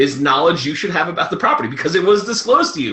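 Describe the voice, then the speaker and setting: A man speaks in a high voice with a slight New York accent, his pitch swinging very widely. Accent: slight New York accent, shows on 'water'. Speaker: real estate investor and presenter. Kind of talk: webinar presentation. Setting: recorded webinar. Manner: fast.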